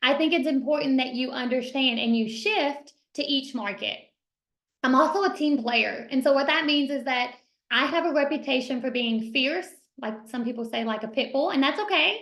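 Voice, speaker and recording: A woman with a Kentucky accent, high-pitched, at a moderate pace. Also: ordinary pitch variation. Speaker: realtor and team leader. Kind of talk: mastermind talk.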